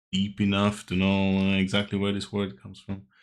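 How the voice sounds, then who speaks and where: Mumbling from a man with a very deep, low pitch at a fairly slow pace, in a very clean recording with a silent background. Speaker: language teacher YouTuber. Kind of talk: vocabulary tutorial.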